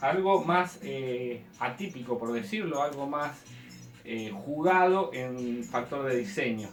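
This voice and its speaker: A man speaks with lively intonation. Music plays behind him, and the room echo is audible. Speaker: bonsai hobbyist teacher. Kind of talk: tutorial. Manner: fast.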